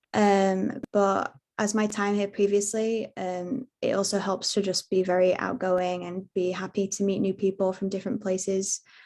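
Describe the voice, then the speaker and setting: The woman's intonation is monotone and flat. Her tone is dark and mellow, and she keeps a moderate pace. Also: medium pitch for a woman, hardly any pauses. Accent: British. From UK. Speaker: international student. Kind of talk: webinar panel answer.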